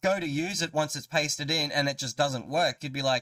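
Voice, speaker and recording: A man with an Australian accent at a very fast pace, the sound dry and close with no echo, on a very clean recording with a silent background. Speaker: gaming YouTuber. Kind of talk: live stream gameplay commentary. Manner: animated.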